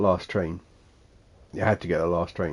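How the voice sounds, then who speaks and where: With a Suffolk accent, a man talks at a moderate pace. The sound is dry and close with no echo. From Suffolk, England. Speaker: gaming streamer. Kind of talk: casual talk to camera, live stream chatter.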